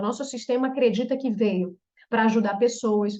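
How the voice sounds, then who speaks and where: A woman with a plain, everyday voice talks at a moderate pace and a fairly high pitch. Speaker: therapist specializing in trauma reprogramming. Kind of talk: online group therapy talk.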